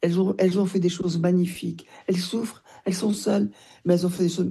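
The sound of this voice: A woman speaks at a fairly low pitch, her dark, mellow tone carrying a husky, rough edge.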